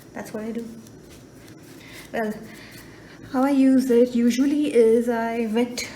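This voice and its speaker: A woman's squeaky, high-pitched voice at a fairly slow pace, amid noticeable background noise. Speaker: watercolor artist. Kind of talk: tutorial. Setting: voiceover. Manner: casual.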